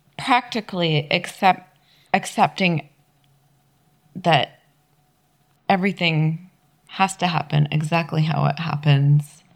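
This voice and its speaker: A woman with an American accent speaks at a very slow pace, somewhat breathy and fairly low in pitch. Her loudness stays very even, her pitch varies in an ordinary way, and she takes long, frequent pauses. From US, Utah. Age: 40s. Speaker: podcast co-host, kung fu student. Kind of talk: casual chat. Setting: home recording late at night.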